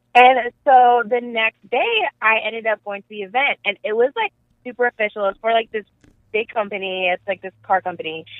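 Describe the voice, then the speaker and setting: A woman with a plain, everyday voice, fairly high in pitch, with ordinary pitch variation at a moderate pace. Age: 20s. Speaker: caller. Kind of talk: casual chat. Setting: phone call.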